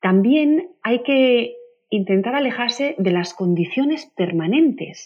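This woman's pitch swings very widely. She talks at a fairly slow pace. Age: 40s. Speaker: parenting author. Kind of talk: interview. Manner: animated.

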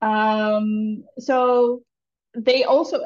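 A woman with a Dutch accent and ordinary pitch variation. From the Netherlands. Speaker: founder of an entrepreneur community, entrepreneur. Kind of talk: casual interview chat. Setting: video call, remote from Bali.

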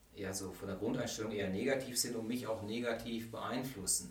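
A man talks at a fairly quick pace with fairly even intonation. Room echo is audible. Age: 40s. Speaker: vocational school teacher. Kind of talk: casual interview.

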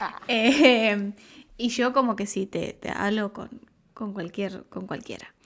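Fairly even in intonation, the speech goes at a very slow pace on a very clean recording with a silent background. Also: woman, fairly high pitch for a woman. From Argentina, Buenos Aires. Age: 20s. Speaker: makeup artist. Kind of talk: casual chat. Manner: talkative.

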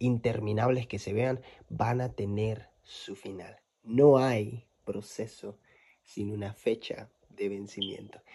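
A man's dark, mellow, somewhat breathy voice with fairly even intonation, on a very clean recording with a silent background. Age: 20s. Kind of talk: devotional monologue.

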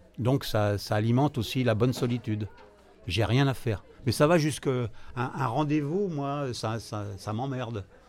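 Music plays in the background as a man talks. His pace is fairly slow and his pitch varies in an ordinary way. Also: medium pitch for a man. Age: 70s. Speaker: retiree, café regular. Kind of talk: interview testimony. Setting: café. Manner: talkative.

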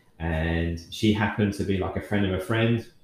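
Somewhat breathy and fairly low-pitched, a man talks with a southern English accent. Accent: English, southern England. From Kent, South East England. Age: 30s. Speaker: fitness coach. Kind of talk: casual interview.

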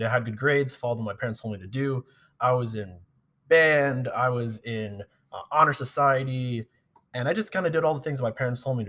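An American accent at a very fast pace, with ordinary pitch variation and big swings in loudness. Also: man, medium pitch for a man. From Long Island, New York. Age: 20s. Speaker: army officer. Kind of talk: casual chat. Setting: gym.

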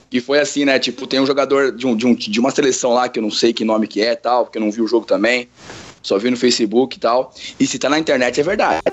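A man with a medium pitch and ordinary pitch variation rattles along at a very fast pace. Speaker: teacher. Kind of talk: casual chat.

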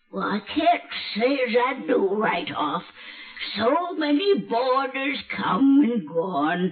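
In a put-on character voice, a woman speaks very slowly at a fairly high pitch. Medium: old radio play. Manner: tart and chuckling.

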